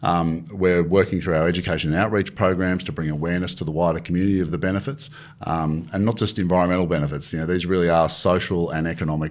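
A man with an Australian accent speaks at a very fast pace. His pitch is very deep and low, with ordinary variation. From country New South Wales, Australia. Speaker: government agency chief executive. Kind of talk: interview.

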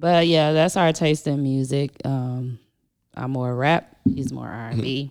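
A woman with a very deep, low pitch talks at a fairly slow pace, her intonation fairly even but her loudness swinging widely. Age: 30s. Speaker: podcast co-host. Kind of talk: casual chat.

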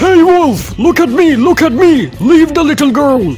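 Over clear background music, a put-on character voice moves at a moderate pace. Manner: panicked, shouting.

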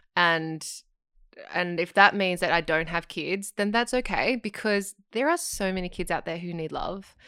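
In a very clean recording with a silent background, a bright, sharp voice with an Australian accent moves at a moderate pace with ordinary pitch variation. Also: woman, medium pitch for a woman. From Australia, Sydney. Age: 30s. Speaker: singer, actor and yoga teacher. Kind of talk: casual chat.

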